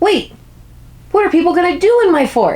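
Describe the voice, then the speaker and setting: A squeaky, put-on character voice at extremely high pitch and a moderate pace. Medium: read story. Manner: eager, boastful.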